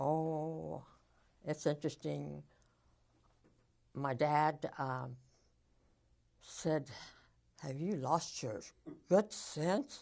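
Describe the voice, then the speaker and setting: Very slow and very deep in pitch, a woman speaks with a dark, mellow tone, vocal fry, and ordinary pitch variation. Her speech is broken by long, frequent pauses. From Nebraska and Colorado, USA. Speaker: World War II army veteran. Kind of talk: oral history interview answer.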